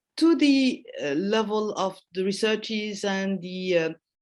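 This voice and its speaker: Very slowly and at a medium pitch, a woman speaks with a non-native accent in a very clean recording with a silent background. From Japan, French-Japanese family. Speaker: professor. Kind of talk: Q&A after lecture. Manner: halting, many fillers.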